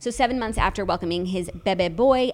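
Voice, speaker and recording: A woman with an American accent, an ordinary speaking voice, ordinary pitch variation and a fairly quick pace. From New York City. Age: 20s. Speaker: podcast co-host. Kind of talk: casual chat; reading aloud.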